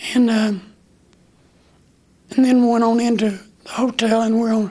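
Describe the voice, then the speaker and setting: Over noticeable background noise, a man with an American accent talks at a moderate pace. His pitch is extremely high and his intonation monotone and flat. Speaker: war veteran. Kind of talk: interview answer.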